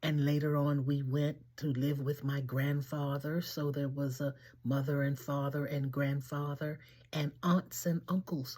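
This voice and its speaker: A woman speaks at a fairly slow pace with a very deep, low pitch and a dark, mellow, somewhat breathy tone, on a very clean recording with a silent background. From Washington, D.C., US. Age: 80s+. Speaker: elder sharing life memories. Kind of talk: personal storytelling monologue.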